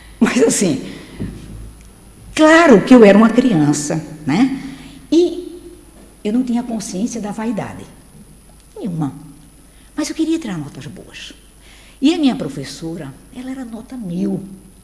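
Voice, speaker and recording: A woman with a fairly high voice speaks at a fairly slow pace, with very wide pitch swings and big swings in loudness. Long, frequent pauses break up her speech, and the room echo is audible. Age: 60s. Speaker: spiritist lecturer. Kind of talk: lecture. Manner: conversational, addressing audience.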